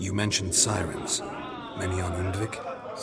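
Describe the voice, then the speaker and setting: Cartoonish character voice from a man at a moderate pace, over loud background noise. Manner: terse, flat, laconic.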